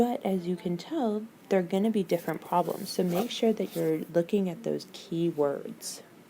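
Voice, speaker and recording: A quiet woman talks at a moderate pace with hardly any pauses. Her pitch is medium, with ordinary pitch variation. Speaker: teacher. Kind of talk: tutorial. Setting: district office.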